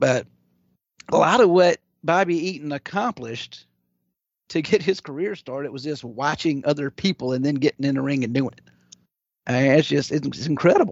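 A man with a Louisiana accent speaks at a fairly high pitch and a fairly quick pace, with ordinary pitch variation, big swings in loudness and long, frequent pauses. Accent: Southern US, Louisiana. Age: 40s. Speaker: wrestling commentator guest. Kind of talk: live stream casual chat.

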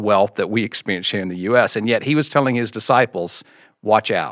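A man talks with a slight Mississippi accent. The sound is dry and close with no echo, on a very clean recording with a silent background. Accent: slight Southern (Mississippi). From US South, Mississippi. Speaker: founder of a church generosity ministry. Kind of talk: casual interview about faith.

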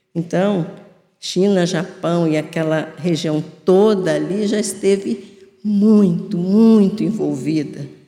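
At a very slow pace, a woman talks in a dark, mellow tone with ordinary pitch variation. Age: 70s. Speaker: spiritist lecturer. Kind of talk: religious talk.

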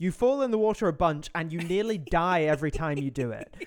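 A man with a British accent speaks at a fairly quick pace in a high pitch. His voice makes very wide pitch swings. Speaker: podcast co-host. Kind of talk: casual chat.

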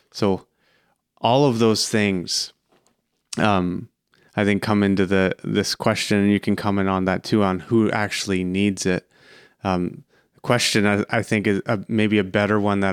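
Delivered at a fairly slow pace, the speech has monotone, flat intonation and very even loudness, with a dry, close sound with no echo on a very clean recording with a silent background. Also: man. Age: 30s. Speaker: podcast host and financial advisor. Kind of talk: interview.

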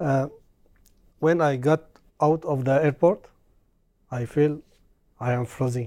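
With a strong Arabic accent, the speaker goes at a fairly slow pace and leaves long, frequent pauses. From Syria. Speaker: Syrian refugee, employee.

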